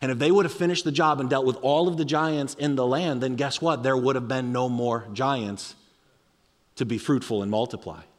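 A man speaks at a fairly quick pace with an animated tone. His pitch is medium, with ordinary pitch variation. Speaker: pastor. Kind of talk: sermon. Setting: church. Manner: fast.

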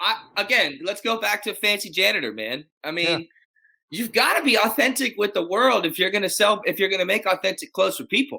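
Raising and projecting his voice, a man with an American accent speaks at a fairly quick pace, his high pitch bright and sharp in tone and animated throughout. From Texas, Dallas. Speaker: custom tailor and rancher. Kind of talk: casual interview. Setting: video call.

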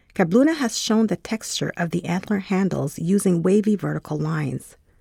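A woman's plain, everyday voice at medium pitch, lively intonation and a moderate pace, dry and close with no echo, on a very clean recording with a silent background. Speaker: curator text reader. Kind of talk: scripted narration.

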